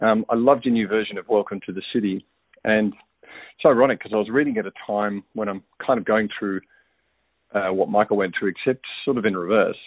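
At a fairly quick pace, a man speaks with an Australian accent and a fairly low pitch. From Australia, Melbourne. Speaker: listener sending feedback, parent. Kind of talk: recorded voicemail feedback. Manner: casual, hesitant with fillers.

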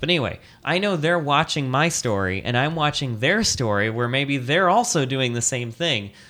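At a fairly quick pace, a man speaks with lively intonation in an unremarkable speaking voice. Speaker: podcast host. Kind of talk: casual chat. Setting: indoors at home.

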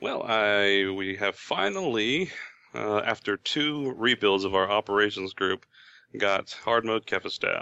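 This man has a fairly low pitch with ordinary pitch variation. He speaks at a fairly slow pace. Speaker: gaming writer. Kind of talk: casual chat. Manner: halting, many fillers.

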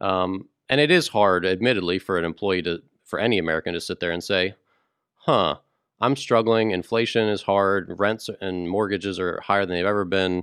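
A man's fairly low pitch in an ordinary speaking voice, with fairly even intonation at a moderate pace against a quiet background. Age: 30s. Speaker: podcast co-host. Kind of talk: casual chat.

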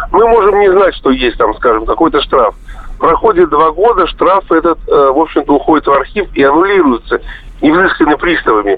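A man talks at a moderate pace with very even loudness. Noticeable background noise runs behind him. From Russia, Tver. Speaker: radio caller. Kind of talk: phone-in question. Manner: rambling, filler-heavy.

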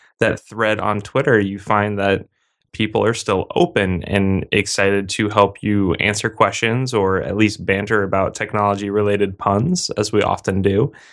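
Against a quiet background, a man with a plain, everyday voice talks at a moderate pace with a fairly low pitch. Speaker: podcast host.

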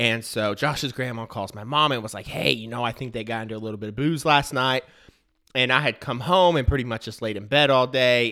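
A man at medium pitch and a fairly quick pace, animated, with a bright, sharp tone on a very clean recording with a silent background. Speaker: baseball podcast host. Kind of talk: casual chat. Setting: studio. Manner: fast talker.

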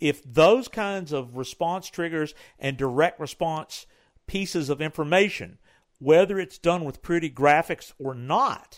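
A man with a high pitch and lively intonation talks at a fairly slow pace in a very clean recording with a silent background. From Tennessee. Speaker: co-host, online audio and video trainer. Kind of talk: casual business podcast chat.

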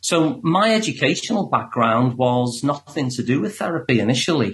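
This man speaks at a medium pitch with a Liverpool accent. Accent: Liverpool (Scouse). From Liverpool, England. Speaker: psychotherapist. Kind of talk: interview.

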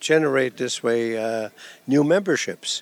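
A man with a German accent speaks with fairly even intonation, and the sound is dry and close with no echo. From Germany. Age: 80s. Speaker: retired nudist resort owner. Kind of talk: interview.

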